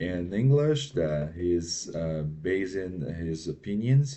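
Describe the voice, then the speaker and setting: A man with a non-native accent at a very slow pace, with lively intonation. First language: not English. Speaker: reaction video commentator. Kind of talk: reaction commentary. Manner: halting, with many fillers.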